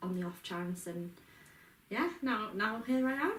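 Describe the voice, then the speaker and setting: Heard with audible room echo and noticeable background noise, a woman with a Yorkshire accent speaks at a moderate pace with ordinary pitch variation. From Yorkshire Dales, northern England. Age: 20s. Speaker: mental health peer support worker. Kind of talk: casual interview.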